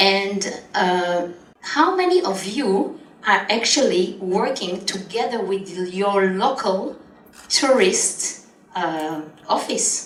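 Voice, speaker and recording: Speech in an Israeli accent comes at a very slow pace with ordinary pitch variation. Noticeable background noise and audible room echo are present. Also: woman, medium pitch for a woman. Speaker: travel company founder and conference speaker. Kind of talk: conference talk. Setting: conference stage with audience.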